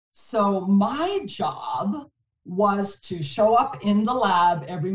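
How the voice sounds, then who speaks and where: A woman's somewhat breathy, medium-pitched voice with very wide pitch swings. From Montreal, Canada. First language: French. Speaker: distribution executive. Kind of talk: casual interview.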